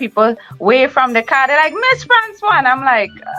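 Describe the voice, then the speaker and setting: Music plays in the background as a woman with a Trinidad and Tobago accent speaks at a fairly quick pace. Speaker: talk show host and entertainer. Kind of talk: podcast interview. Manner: animated.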